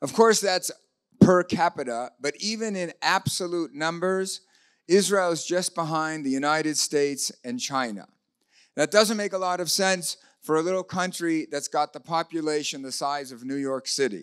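Big swings in loudness mark this man's moderate-paced speech, which has ordinary pitch variation over a quiet background. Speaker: speaker. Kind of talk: lecture. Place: hall. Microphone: handheld.

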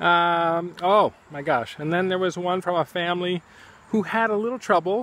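Dry with no echo, this high-pitched male voice has a relaxed tone, a moderate pace and ordinary pitch variation. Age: 60s. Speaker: artist and teacher thanking friends on his channel. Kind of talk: casual video message. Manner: relaxed, hesitant with many fillers. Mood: warm, amused. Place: garden. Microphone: phone near.

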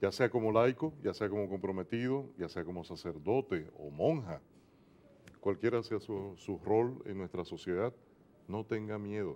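A man's fairly low-pitched voice at a moderate pace, with ordinary pitch variation. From Dominican Republic. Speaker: TV program host. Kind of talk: religious TV interview. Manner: animated. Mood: warm, earnest, religious. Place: studio. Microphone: lapel.

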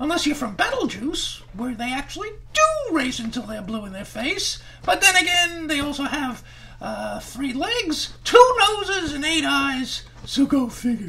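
A man in a put-on character voice at an extremely high pitch, moving at a moderate pace. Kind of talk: ventriloquist comedy routine, children's show.

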